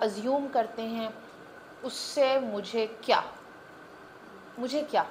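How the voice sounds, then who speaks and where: A woman speaks with a Punjabi accent. Noticeable background noise runs under her voice. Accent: Punjabi accent in Urdu. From Punjab, Pakistan. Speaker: guest on women's podcast. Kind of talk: podcast interview.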